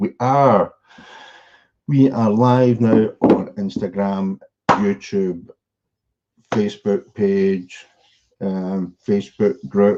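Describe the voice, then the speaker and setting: A man's dark, mellow voice, fairly low in pitch, with ordinary pitch variation, a very slow pace, a Scottish accent and long, frequent pauses. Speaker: e-commerce coach. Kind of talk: live stream presentation. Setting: live stream.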